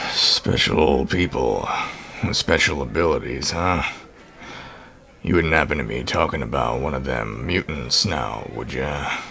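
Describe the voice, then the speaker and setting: A man's raspy, put-on character voice with a very deep, low pitch at a moderate pace, over clear background noise. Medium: audio drama. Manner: curt, sardonic.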